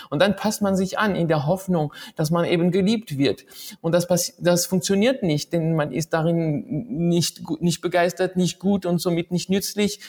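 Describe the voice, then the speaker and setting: Recorded dry and close with no echo, a man speaks at a high pitch and a fairly slow pace, his loudness very even and his pitch varying in an ordinary way. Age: 40s. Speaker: author and musician. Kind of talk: interview.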